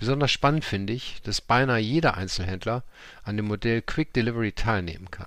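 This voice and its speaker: A man talks in a normal speaking voice at a medium pitch. His pace is fairly quick, with ordinary pitch variation. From Germany, Cologne. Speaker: podcast host. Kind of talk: interview; scripted narration. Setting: company headquarters office.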